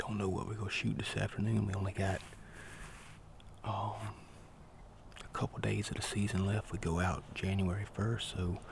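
Fairly low in pitch, a man speaks at a moderate pace with monotone, flat intonation, very even loudness and long, frequent pauses, the sound dry with no echo but with noticeable background noise. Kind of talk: casual vlog chat. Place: forest. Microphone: phone near.

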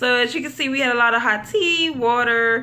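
A woman speaks with a high pitch, a bright, sharp tone and ordinary pitch variation. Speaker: stay-at-home mother vlogger. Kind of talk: casual vlog chat. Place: home room. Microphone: phone near.

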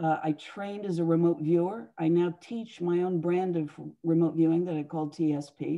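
This woman has a fairly low pitch and a dark, mellow tone. She speaks at a fairly slow pace against a quiet background. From US, moved around. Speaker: psychic and author; guest. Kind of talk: interview. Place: home room. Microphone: video call.

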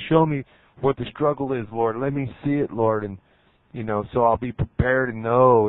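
A man at a moderate pace with ordinary pitch variation, dry sound with no echo, and a quiet background. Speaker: preacher. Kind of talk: fervent prayer sermon. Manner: earnest, impassioned, urgent. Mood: earnest, calm. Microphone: handheld.

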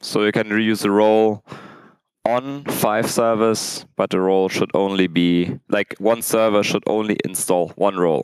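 In a dry sound with no echo, a man with an ordinary speaking voice speaks at a fairly low pitch with ordinary pitch variation. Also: quiet background. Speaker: conference speaker. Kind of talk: technical conference talk. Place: hall.

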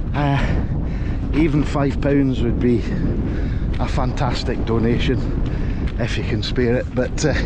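A man's very slow speech, in a dry sound with no echo, over loud background noise. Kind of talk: casual vlog chat. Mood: upbeat, grateful. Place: open country. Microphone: phone near.

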